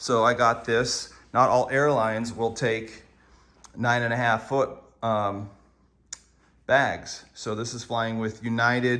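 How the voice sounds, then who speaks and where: With a bright, sharp tone and medium pitch, a man speaks very slowly in a monotone, flat delivery. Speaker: surf gear reviewer. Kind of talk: product review. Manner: casual, with many fillers.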